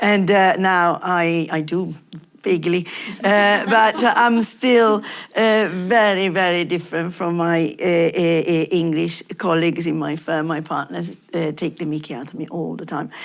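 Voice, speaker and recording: In an Italian accent, a woman speaks at a fairly slow pace. Her pitch is fairly low, with ordinary variation. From Italy. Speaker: lawyer. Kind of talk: panel discussion. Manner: halting, many fillers and repetitions.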